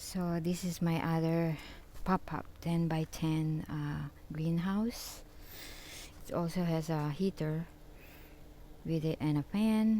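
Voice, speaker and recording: A woman's fairly low, dark, mellow voice, mumbling at a very slow pace with fairly even intonation and long, frequent pauses. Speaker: gardening vlogger. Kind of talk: casual video tour. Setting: greenhouse tent. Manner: halting.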